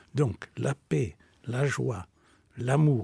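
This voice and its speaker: A man's somewhat breathy voice moves through very wide pitch swings. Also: dry sound with no echo. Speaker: spiritual teacher and author; spiritual teacher. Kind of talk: radio interview. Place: studio.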